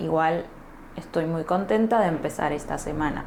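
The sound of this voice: A woman with an Argentine accent talks at a moderate pace in a low pitch, her slightly mellow tone showing ordinary pitch variation.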